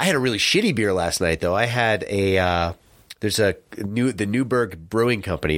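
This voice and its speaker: A man with an American accent, an unremarkable speaking voice and ordinary pitch variation, on a very clean recording with a silent background. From New Jersey, US. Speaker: cycling podcast co-host, amateur bike racer. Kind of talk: casual chat. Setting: studio.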